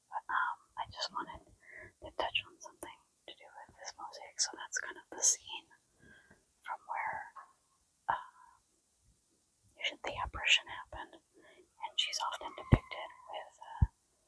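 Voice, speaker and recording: Whispering, a woman leaves long, frequent pauses while her loudness swings widely. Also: moderate pace, dry, close sound with no echo. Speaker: vlogger. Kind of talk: travel vlog. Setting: basilica.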